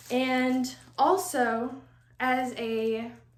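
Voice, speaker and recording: Amid audible room echo, a woman with an American accent speaks at a high pitch. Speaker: doll collecting YouTuber. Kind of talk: personal testimony. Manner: relaxed, chill.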